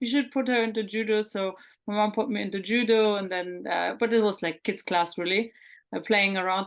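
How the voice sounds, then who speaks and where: Against a quiet background, a woman speaks in a German accent with fairly even intonation. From Germany, Hamburg. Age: 30s. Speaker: mental performance coach. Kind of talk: interview.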